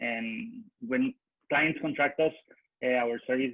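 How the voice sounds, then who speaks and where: At a moderate pace, a man talks in a Spanish accent. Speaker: marketing manager at a consultancy. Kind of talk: business presentation. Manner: halting, many hesitations.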